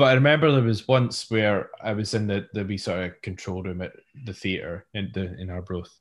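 Speaking with a Scottish accent, a man moves at a fairly quick pace. His pitch is fairly low, with ordinary variation, over a quiet background. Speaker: sound engineer. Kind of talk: casual chat.

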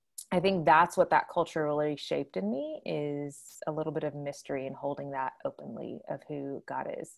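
A woman with an American accent speaks at a moderate pace with hardly any pauses. The recording is very clean, with a silent background. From Houston, Texas. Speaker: pastor and spiritual director. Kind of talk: interview conversation.

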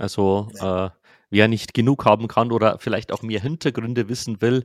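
This is an ordinary speaking voice, its intonation fairly even throughout. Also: man, dry, close sound with no echo, very clean recording, silent background. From Lower Bavaria, Germany. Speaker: film podcast host. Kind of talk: casual chat.

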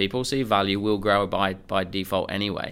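Fairly low-pitched, a man speaks with an English accent and ordinary pitch variation. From England. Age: 30s. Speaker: sales coach. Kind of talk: interview.

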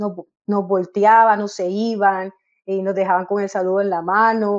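Intonation stays monotone and flat throughout. The delivery holds a moderate pace. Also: woman. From Colombia, Caribbean coast (Barranquilla). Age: 30s. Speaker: football coach. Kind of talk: interview.

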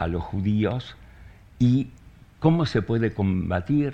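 Delivered at a very slow pace, the voice is somewhat breathy, with a dark, mellow tone and lively intonation. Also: man. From Argentina (born in Soviet Union). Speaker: writer. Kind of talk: public conversation.

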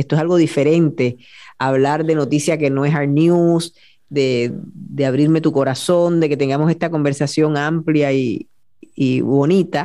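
A woman's very deep, low voice carries a dark, mellow tone. She speaks fairly slowly with fairly even intonation and very even loudness. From Puerto Rico, Añasco (western island). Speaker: TV news journalist. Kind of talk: interview conversation.

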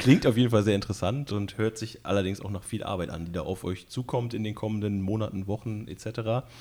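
With hardly any pauses, a man speaks in a dark, mellow tone at a fairly low pitch with fairly even intonation. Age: 30s. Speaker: club podcast host. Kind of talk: casual interview.

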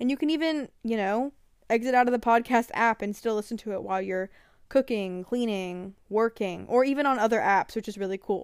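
A woman speaks at a fairly quick pace with a fairly high pitch and ordinary pitch variation, captured in a very clean recording with a silent background. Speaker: podcast host. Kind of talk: solo podcast trailer. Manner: halting, many fillers; improvised.

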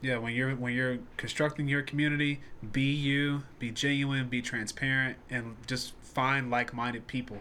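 At a moderate pace, a man with an American accent speaks in a bright, sharp tone at medium pitch with monotone, flat intonation. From Nashville, Tennessee (US South). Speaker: musician and podcast host. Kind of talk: casual chat.

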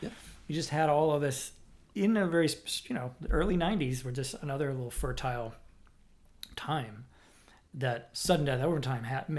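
Audible room echo surrounds a man with an American accent and a fairly high voice. His intonation is lively, and he leaves long, frequent pauses. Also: moderate pace. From Boston area, Massachusetts. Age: 40s. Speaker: podcast host and drummer. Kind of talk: casual chat. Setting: at home.

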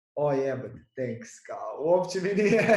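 The speech is very slow, with lively intonation. Room echo is audible. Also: man. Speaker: podcast host, stand-up comedian. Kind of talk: casual chat.

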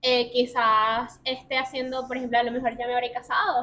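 A woman talks in a high pitch. Her pace is fairly quick. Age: 20s. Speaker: journalist and food content creator. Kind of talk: interview.

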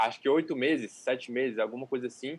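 A man speaks quickly in a plain, everyday voice. His pitch is fairly high for a man, and his intonation stays fairly even. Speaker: calisthenics youtuber. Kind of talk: casual chat. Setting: livestream.

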